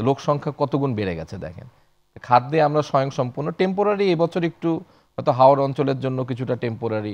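At a medium pitch, a man uses a plain, everyday voice with lively intonation. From Bangladesh. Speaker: bank executive; guest. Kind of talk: interview. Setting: studio. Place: studio. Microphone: lapel.

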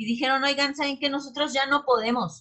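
A woman with a Mexican accent speaks in a bright, sharp tone against a quiet background. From Mexico. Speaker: cooperative producer, market presenter; presenter. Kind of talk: presentation of experience, talk. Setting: video call. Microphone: video call.

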